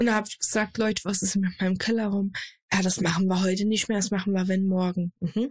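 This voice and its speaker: Here a woman speaks at medium pitch. Her voice is somewhat breathy. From Germany, Saarland. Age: 20s. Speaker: streamer and content creator. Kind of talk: casual chat.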